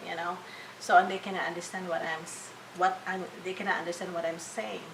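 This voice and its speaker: A woman with a Filipino accent speaks very fast at a fairly low pitch, her intonation fairly even and the room echo audible. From Philippines. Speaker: registered nurse. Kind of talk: interview. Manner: halting, many fillers and restarts.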